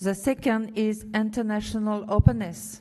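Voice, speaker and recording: Against a quiet background, a woman speaks at a fairly slow pace in a medium-pitched voice of dark, mellow tone with fairly even intonation. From France. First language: French. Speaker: university official. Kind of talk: commencement speech. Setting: graduation ceremony hall with audience. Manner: halting, with fillers.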